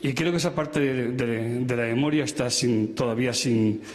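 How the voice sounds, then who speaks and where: Amid noticeable background noise and audible room echo, a man talks at a fairly slow pace and medium pitch. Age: 70s. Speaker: audience member, former political prisoner. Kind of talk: audience comment at a public talk.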